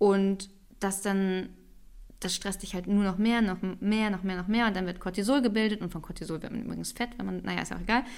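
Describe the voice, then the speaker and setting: A woman speaks in an unremarkable speaking voice at medium pitch. Her pace is fairly quick and her intonation fairly even. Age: 30s. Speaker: podcast co-host. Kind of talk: casual chat.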